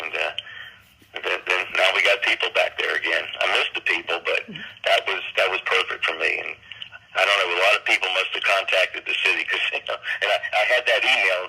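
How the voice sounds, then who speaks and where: Noticeable background noise is present. The man talks at a fairly quick pace. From Miami Beach, Florida. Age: 70s. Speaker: songwriter and streak runner. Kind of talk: interview. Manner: halting.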